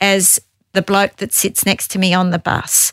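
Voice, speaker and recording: At a fairly slow pace, a woman in an Australian accent speaks with a bright, sharp tone, the sound dry and close with no echo. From Tasmania, Australia. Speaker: government agency director. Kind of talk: interview.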